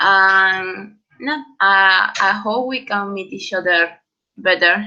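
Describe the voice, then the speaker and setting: A woman's bright, sharp tone in a Peruvian accent. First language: Spanish. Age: 20s. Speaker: student organization trainer. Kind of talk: online training presentation. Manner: halting, many fillers.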